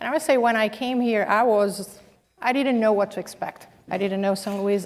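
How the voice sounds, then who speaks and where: With fairly even intonation, a woman speaks in a non-native accent. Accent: foreign. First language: not English. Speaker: business executive, panelist. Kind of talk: panel discussion.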